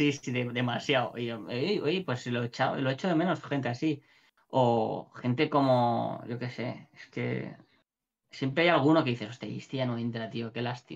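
Talking at a moderate pace, the man lets his pitch vary in an ordinary way. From Valencia, Spain; Spain. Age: 30s. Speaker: shop owner and gamer; gamer. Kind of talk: casual interview chat. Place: home room.

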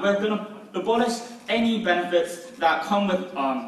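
A man talks at a moderate pace while audible room echo hangs around his voice. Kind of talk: competitive debate speech. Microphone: camera far.

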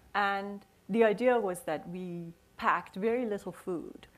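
A woman in a Persian accent, with ordinary pitch variation and a moderate pace. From Iran. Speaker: author and poet. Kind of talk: onstage conversation. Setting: stage with audience. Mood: reflective, nostalgic. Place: stage.

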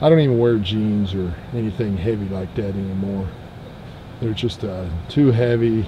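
The man's voice is fairly low in pitch, with ordinary pitch variation. He keeps a moderate pace against noticeable background noise. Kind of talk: casual tutorial. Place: open country. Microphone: camera far.

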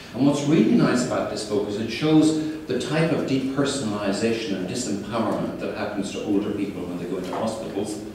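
A man talks fairly quickly with hardly any pauses, at a medium pitch with ordinary pitch variation, over light background noise and strong room echo. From Ireland. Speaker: keynote speaker. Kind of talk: keynote lecture. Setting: conference stage with microphone. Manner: fast talker. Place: hall. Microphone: camera far.

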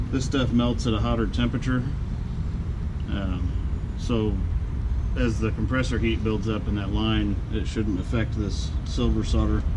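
Through loud background noise, a man speaks at a fairly slow pace with long, frequent pauses. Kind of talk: tutorial. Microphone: phone near.

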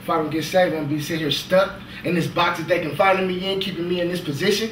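A man with a high pitch and ordinary pitch variation at a very fast pace, with audible room echo and light background noise. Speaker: actor performing a monologue. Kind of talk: dramatic monologue. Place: stage.

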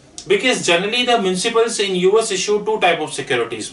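The pace is fairly quick, with ordinary pitch variation. Room echo is audible. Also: man. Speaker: finance trainer. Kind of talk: lecture. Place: classroom.

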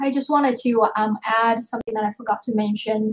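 A woman with a fairly high, somewhat breathy voice talks at a moderate pace against a quiet background. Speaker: marketing team member. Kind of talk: team meeting update. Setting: video call. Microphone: video call.

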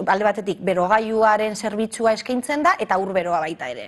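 A woman with a normal speaking voice talks with lively intonation. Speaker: city councillor. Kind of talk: TV interview.

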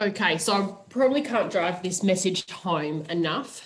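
Her pitch fairly low, a woman talks at a fairly slow pace in an unremarkable speaking voice. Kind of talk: webinar presentation. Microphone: video call.

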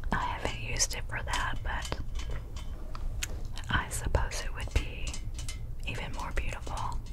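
The pace is fairly slow. Long, frequent pauses appear throughout. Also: woman. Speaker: ASMR creator. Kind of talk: whispered ASMR talk.

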